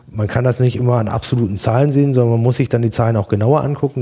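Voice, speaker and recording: A somewhat breathy voice with a dark, mellow tone. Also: man. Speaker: farmer and hunter. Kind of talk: podcast interview. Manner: passionate.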